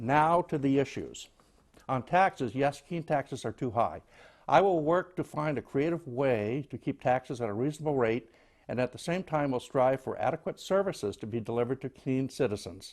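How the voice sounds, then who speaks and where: A man talks at a moderate pace in a fairly high pitch with ordinary pitch variation, an unremarkable speaking voice. Behind him the background is quiet. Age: 60s. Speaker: city council candidate. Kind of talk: campaign statement. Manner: formal.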